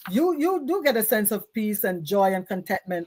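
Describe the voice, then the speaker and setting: A woman in a Jamaican accent speaks with very wide pitch swings. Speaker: talk show host. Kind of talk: interview. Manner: animated.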